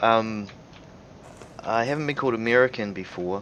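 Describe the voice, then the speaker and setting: A man speaks quietly. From New Zealand. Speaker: video game streamer. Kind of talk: let's play commentary. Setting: live stream. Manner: casual, with many fillers; quiet voice.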